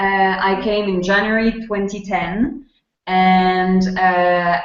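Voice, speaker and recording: A woman's medium-pitched voice in a strong French accent, very slow, with fairly even intonation. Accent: thick French. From France. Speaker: volunteer program presenter. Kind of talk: webinar information session. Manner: halting.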